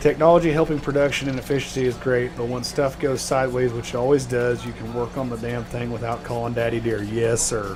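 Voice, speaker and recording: A man talks at a very fast pace, with hardly any pauses, at a medium pitch. His intonation is fairly even, and noticeable background noise is present. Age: 30s. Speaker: gaming streamer. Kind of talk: casual livestream chat. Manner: casual, halting with fillers.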